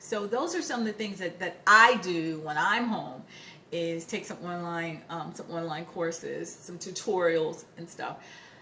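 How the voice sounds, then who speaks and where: A bright, sharp tone comes through at a fairly slow pace with ordinary pitch variation. Room echo is audible. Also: woman, fairly low pitch for a woman, big swings in loudness. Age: 60s. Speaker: lifestyle vlogger, retired finance worker. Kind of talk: casual vlog talk to camera. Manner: halting, many fillers and repetitions.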